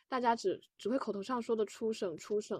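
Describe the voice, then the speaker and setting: An ordinary speaking voice with fairly even intonation and a dry, close sound with no echo. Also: woman. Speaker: university student, co-planner of the episode. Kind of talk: casual conversation, podcast discussion.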